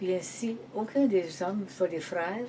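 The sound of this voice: A woman speaks at a fairly low pitch with ordinary pitch variation and a slightly mellow tone.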